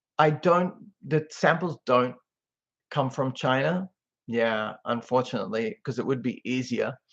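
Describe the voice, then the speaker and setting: Man with an Australian accent, medium pitch and lively intonation, at a very slow pace. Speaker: social media commentator. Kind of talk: casual live-stream chat. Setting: webcam live stream. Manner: laid back.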